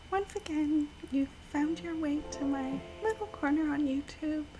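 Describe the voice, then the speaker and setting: Soft-spoken, a woman talks at a high pitch and a fairly slow pace. Noticeable background noise is present. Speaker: VTuber game streamer. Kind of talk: casual gameplay stream with scripted intro. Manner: soft-spoken, shy.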